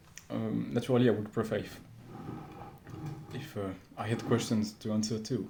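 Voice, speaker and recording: Amid audible room echo, a man with a fairly low pitch talks at a moderate pace with fairly even intonation and long, frequent pauses. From France. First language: French. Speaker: vlogger. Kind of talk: unscripted monologue. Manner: halting, many fillers.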